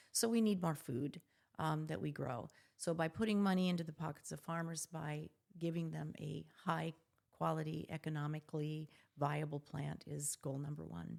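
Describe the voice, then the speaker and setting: A woman talks in a very deep, low voice with ordinary pitch variation. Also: moderate pace. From US Midwest, South Dakota. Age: 70s. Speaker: physician and entrepreneur. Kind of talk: podcast interview.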